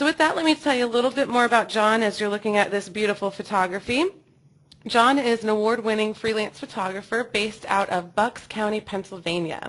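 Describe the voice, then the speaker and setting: Using a normal speaking voice, a woman talks at a fairly quick pace with a fairly high pitch and ordinary pitch variation. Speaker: webinar host. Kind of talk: webinar hosting. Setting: online webinar.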